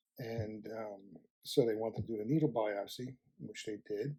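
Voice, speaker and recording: The speaker is a man with a medium pitch and a dark, mellow tone. He talks at a fairly slow pace with ordinary pitch variation. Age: 60s. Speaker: prostate cancer survivor sharing experience. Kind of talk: testimony.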